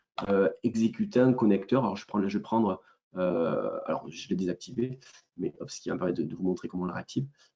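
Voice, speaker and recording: Very fast and with big swings in loudness, a man speaks in a fairly low pitch with a dark, mellow tone and ordinary pitch variation. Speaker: company founder presenting software. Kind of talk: webinar product demo. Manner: halting, many hesitations.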